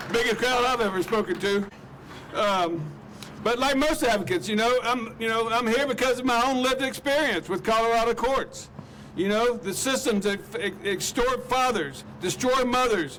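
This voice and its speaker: A man's extremely high-pitched voice with an Alabama accent, very even in loudness, with ordinary pitch variation and a moderate pace. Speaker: activist. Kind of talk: rally speech. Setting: outdoor rally with crowd. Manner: impassioned.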